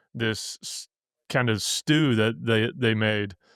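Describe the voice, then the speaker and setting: On a very clean recording with a silent background, a man with a Missouri accent speaks at medium pitch. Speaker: podcast host and bitcoin miner. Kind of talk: casual interview chat. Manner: halting, many fillers and restarts.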